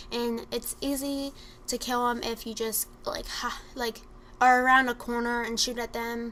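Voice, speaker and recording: Against noticeable background noise, a woman with a high pitch speaks in monotone, flat intonation. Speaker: gaming commentator. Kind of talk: gameplay tutorial commentary. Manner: fast.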